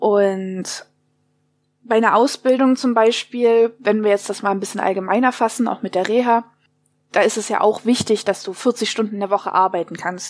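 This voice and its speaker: A woman's fairly high voice, an unremarkable speaking voice, with fairly even intonation at a moderate pace. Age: 20s. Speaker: interviewee with mental illness. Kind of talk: interview.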